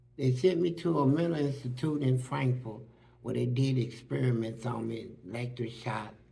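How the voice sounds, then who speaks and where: Somewhat breathy and medium in pitch, a man speaks at a moderate pace with ordinary pitch variation, and audible room echo is present. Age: 60s. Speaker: former prisoner. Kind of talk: interview testimony. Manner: animated.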